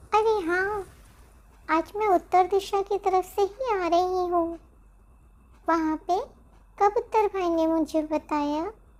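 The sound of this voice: A cartoonish character voice that sounds female speaks at an extremely high pitch and a fairly slow pace, with long, frequent pauses.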